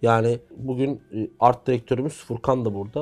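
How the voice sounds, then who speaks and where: Here is an ordinary speaking voice at a moderate pace with fairly even intonation. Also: man. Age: young. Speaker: football commentator. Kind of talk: casual chat.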